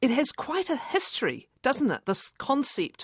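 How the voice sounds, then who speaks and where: A woman talks at a very slow pace with vocal fry, the sound dry and close with no echo. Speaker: radio interviewer. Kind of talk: interview questions.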